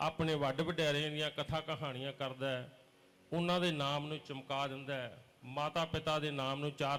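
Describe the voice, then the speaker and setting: Speaking in a Punjabi accent, a man keeps a fairly high pitch and monotone, flat intonation. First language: Punjabi (speaking Hindi). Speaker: religious preacher. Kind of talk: sermon.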